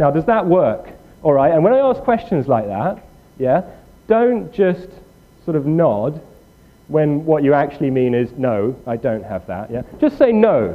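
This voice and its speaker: A man talks with very wide pitch swings. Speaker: programming workshop instructor. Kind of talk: tutorial. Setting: room with live audience. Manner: fast; halting.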